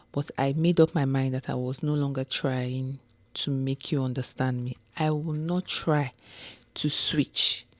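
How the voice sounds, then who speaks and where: In a Nigerian accent, the speaker goes at a fairly slow pace with monotone, flat intonation on a very clean recording with a silent background. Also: woman, very deep, low pitch for a woman. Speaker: homecare business owner. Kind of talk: casual talk to camera.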